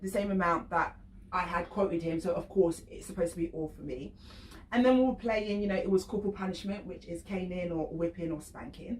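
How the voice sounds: A woman at medium pitch, fairly quick in pace, with ordinary pitch variation.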